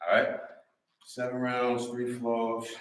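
Audible room echo and light background noise around a man speaking. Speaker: fitness coach. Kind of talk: workout instruction. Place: gym. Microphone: camera far.

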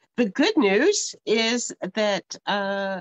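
A woman's pitch varies in an ordinary way. The sound is dry with no echo, over a quiet background. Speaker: craft host. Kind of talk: casual livestream chat. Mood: amused, a bit flustered. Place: home room. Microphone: webcam.

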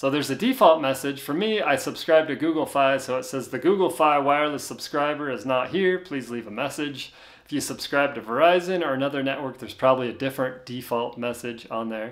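Speech comes at a fairly quick pace with ordinary pitch variation. The background is quiet. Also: man. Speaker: tech tutorial host. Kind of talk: tutorial. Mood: relaxed, friendly. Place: home room.

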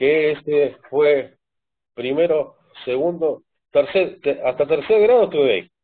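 Pitched fairly high, a man speaks fairly slowly with ordinary pitch variation and very even loudness, taking long, frequent pauses. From Argentina, Buenos Aires province (San Martín). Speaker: adult with ADHD, parent. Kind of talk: interview. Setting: video call. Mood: relaxed, reminiscing about childhood. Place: home room. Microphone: video call.

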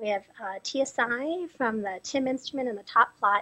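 Against a quiet background, the speaker talks at a fairly slow pace with ordinary pitch variation. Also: woman. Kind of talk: lecture. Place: hall. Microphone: podium.

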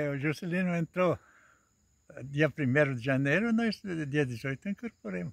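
A man speaks at a fairly high pitch, somewhat breathy, with very wide pitch swings. His pace is fairly slow with long, frequent pauses, in a dry, close sound with no echo. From western Santa Catarina, Brazil. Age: 80s+. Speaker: retired farmer and stone-wall builder. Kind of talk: casual chat.

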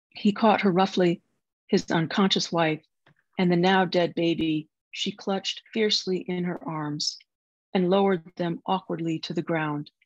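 With a normal speaking voice, a woman talks at a moderate pace and a fairly low pitch, her intonation fairly even, against a quiet background. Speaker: novelist. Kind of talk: literary audiobook reading, fiction read aloud to a virtual audience. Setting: video call. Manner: even, measured, narrative cadence.

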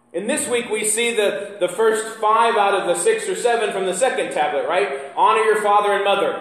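There is audible room echo as a man talks at a moderate pace with hardly any pauses and ordinary pitch variation. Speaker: pastor. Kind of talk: sermon. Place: church. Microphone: camera far.

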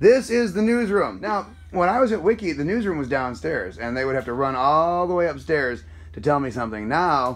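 A man talks at a fairly quick clip, his pitch swinging very widely. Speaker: travel vlogger, former radio host. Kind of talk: casual vlog chat. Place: office. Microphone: phone near.

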